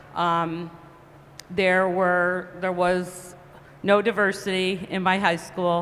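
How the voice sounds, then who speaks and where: Noticeable background noise runs through the clip. The intonation is monotone and flat. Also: woman. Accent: American. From upstate New York, Cohoes. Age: 60s. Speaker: panelist, business leader. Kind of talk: panel discussion.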